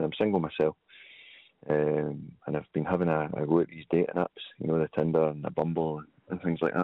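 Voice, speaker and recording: Speaking in a Scottish accent, a man uses a very deep, low pitch and a monotone, flat intonation at a fairly quick pace. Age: 20s. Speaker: caller. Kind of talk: phone-in question.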